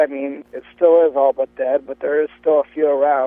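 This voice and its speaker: A man talks with an American accent. His pitch is fairly high and his pace moderate. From US Midwest, Cleveland area. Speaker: sideshow banner painter. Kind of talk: casual interview. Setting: phone call from parked car. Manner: loud; halting, many fillers. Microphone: clear line.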